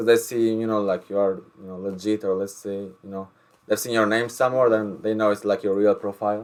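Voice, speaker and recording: Someone with an Albanian accent talks very fast in a flat monotone, recorded very cleanly against a silent background. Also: man. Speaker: rapper. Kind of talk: casual interview chat. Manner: halting, many repeated words.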